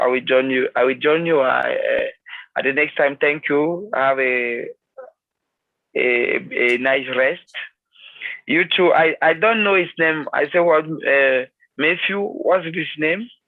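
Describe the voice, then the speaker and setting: Speech comes at a very slow pace in a French accent. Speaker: meeting participant. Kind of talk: casual chat. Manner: halting.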